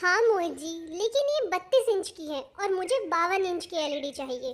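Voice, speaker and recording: A woman's cartoonish character voice at an extremely high pitch, with very wide pitch swings, big swings in loudness and a moderate pace. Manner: insistent, sulky.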